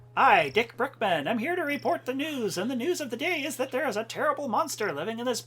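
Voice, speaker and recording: A put-on character voice rattles along at a very fast pace and fairly high pitch. Light background noise sits underneath. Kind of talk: formal news-anchor delivery. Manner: ridiculous, over-the-top.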